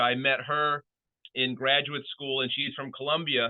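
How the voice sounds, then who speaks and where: Here a man speaks at a fairly high pitch. His intonation is fairly even. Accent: American. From US Midwest, southwest Michigan (Kalamazoo area). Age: 40s. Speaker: professor. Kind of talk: seminar talk. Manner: casual.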